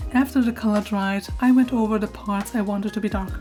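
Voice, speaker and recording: The speaker keeps a monotone, flat intonation at a moderate pace while music plays in the background. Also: woman. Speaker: artist. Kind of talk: art process voiceover.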